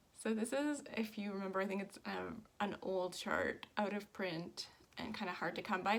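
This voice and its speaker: A woman talks with a Canadian accent at a medium pitch. Background noise is noticeable. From Canada, southern Ontario. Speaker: cross-stitch vlogger. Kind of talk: casual chat. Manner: fast; animated.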